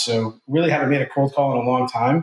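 With an American accent, a man talks in a normal speaking voice at a medium pitch, a moderate pace and fairly even intonation. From New Jersey. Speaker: executive recruiter, CEO. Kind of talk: interview.

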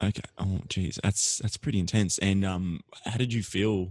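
This man speaks with an Australian accent at a fairly low pitch and a moderate pace. His pitch varies normally, and the sound is dry and close with no echo. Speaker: podcast host. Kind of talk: interview.

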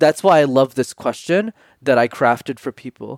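With an ordinary speaking voice, a man talks at a fairly quick pace and a fairly high pitch with lively intonation, in a dry, close sound with no echo on a very clean recording with a silent background. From Canada, Montreal. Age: 20s. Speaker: public speaking coach. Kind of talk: interview. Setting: podcast interview.

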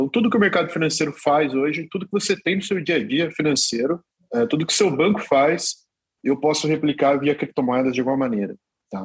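A normal speaking voice with lively intonation. The pace is fairly quick. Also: man, fairly high pitch for a man. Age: 30s. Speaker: crypto exchange executive. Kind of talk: interview.

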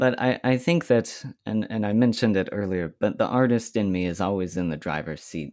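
A man's normal speaking voice, fairly low in pitch, at a fairly quick pace with hardly any pauses. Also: lively intonation, quiet background. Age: 30s. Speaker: clarinetist. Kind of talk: casual chat.

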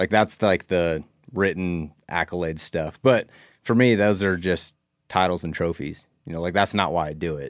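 A man with an American accent and a very deep, low pitch, at a moderate pace with ordinary pitch variation, in a very clean, dry and close recording with no echo and a silent background. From US Northwest (Idaho). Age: 30s. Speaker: professional bass angler. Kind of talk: casual chat.

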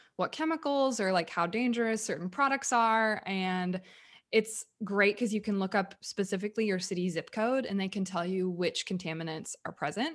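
A woman with an ordinary speaking voice at a moderate pace, medium in pitch, with ordinary pitch variation. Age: 30s. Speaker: podcast co-host. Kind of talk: casual chat.

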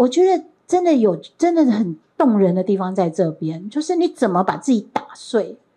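Her pitch swings very widely. The woman talks at a moderate pace with a fairly high pitch for a woman. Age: 60s. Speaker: professor. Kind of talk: lecture. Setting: stage with audience.

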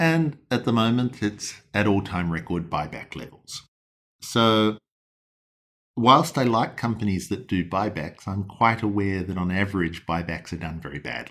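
Recorded very cleanly against a silent background, a man with an Australian accent speaks at a moderate pace, his fairly low pitch carrying lively intonation. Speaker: hedge fund manager. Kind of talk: interview. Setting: in person.

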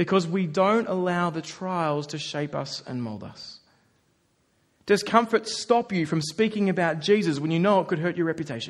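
A man with an Australian accent speaks at a moderate pace with a high pitch and ordinary pitch variation. His loudness swings widely against a quiet background. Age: 30s. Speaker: pastor. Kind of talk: sermon. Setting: church.

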